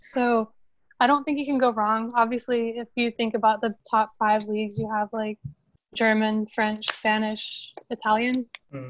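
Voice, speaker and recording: A woman talks at a fairly slow pace with a normal speaking voice and fairly high pitch. Her intonation is fairly even, and the sound is dry and close with no echo. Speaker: football club social media manager. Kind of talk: interview.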